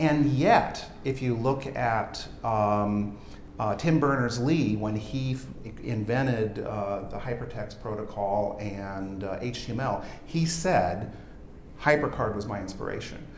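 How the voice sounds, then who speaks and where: A man at a very slow pace with ordinary pitch variation, light background noise and audible room echo. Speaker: software entrepreneur. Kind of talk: product demo interview. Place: studio. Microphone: lapel.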